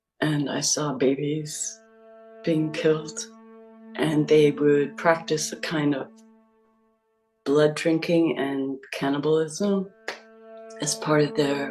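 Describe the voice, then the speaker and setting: With music in the background, a woman with a very deep, low pitch and ordinary pitch variation talks at a very slow pace, leaving long, frequent pauses. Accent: American. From US Northeast. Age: 50s. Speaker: abuse survivor. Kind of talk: testimony. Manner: halting.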